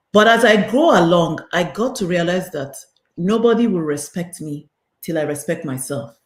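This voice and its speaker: Speaking at a moderate pace, a woman uses a fairly low pitch and lively intonation. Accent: Nigerian. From Nigeria. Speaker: realtor and mentor. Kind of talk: interview conversation.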